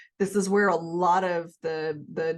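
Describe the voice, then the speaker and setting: A woman with a Southern US accent at a medium pitch and a very slow pace, quiet background. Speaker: health and nutrition video creator. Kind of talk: casual educational monologue.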